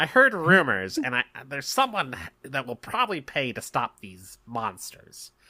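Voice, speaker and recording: A man's put-on character voice, nasal and fairly high-pitched, with very wide pitch swings at a moderate pace. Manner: pinched, comic.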